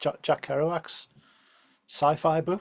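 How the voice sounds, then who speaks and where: A man speaks in an English accent. His pace is fairly quick. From England. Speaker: podcast host. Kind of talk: interview.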